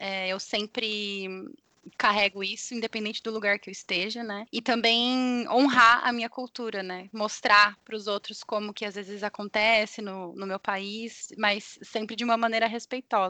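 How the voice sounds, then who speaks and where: A woman with a fairly high pitch speaks at a moderate pace in a bright, sharp tone, with flat, monotone intonation. The sound is dry and close with no echo, and her loudness swings widely. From Brazil. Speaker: yoga teacher. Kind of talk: testimony.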